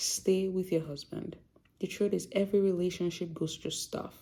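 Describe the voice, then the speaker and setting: On a very clean recording with a silent background, a woman speaks with a Yoruba accent and a dark, mellow tone. Her pace is moderate, with ordinary pitch variation. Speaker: doctor and vlogger. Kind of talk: casual vlog talk.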